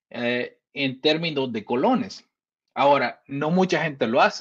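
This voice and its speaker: A man's speech moves fairly slowly, his intonation lively throughout. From El Salvador. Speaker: Bitcoin commentator. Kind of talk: casual interview. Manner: halting, many repetitions and fillers.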